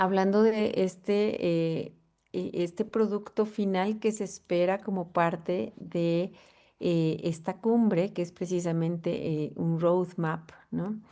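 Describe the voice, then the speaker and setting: A woman's dark, mellow tone at medium pitch, very slow pace and fairly even intonation, over a quiet background. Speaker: professor. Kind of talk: conference talk. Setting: video call. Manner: hesitant, many fillers.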